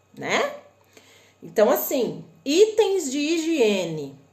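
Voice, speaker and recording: A woman in a northern Paraná accent, high-pitched with very wide pitch swings, at a very slow pace amid audible room echo. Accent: northern Paraná Brazilian. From northern Paraná, Brazil (Londrina). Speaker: online shopping and import tips presenter. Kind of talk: live stream tutorial. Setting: live stream on Instagram and YouTube. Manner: casual, conversational.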